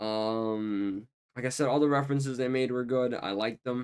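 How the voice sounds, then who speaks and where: At a moderate pace, the quiet voice shows ordinary pitch variation. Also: man. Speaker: YouTube film reviewer. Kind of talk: casual talk to camera.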